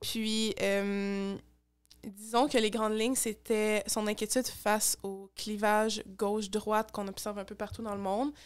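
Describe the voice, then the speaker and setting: Against a quiet background, a woman with a Quebec accent speaks at a fairly slow pace, fairly high in pitch and monotone, flat in intonation. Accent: Québécois. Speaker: youth political activist; podcast guest. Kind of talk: interview. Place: home room. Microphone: studio mic.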